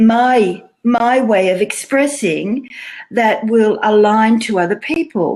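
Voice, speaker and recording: With an Australian accent, a woman speaks very slowly in a fairly high pitch. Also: ordinary pitch variation. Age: 60s. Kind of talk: interview answer. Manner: lively, casual.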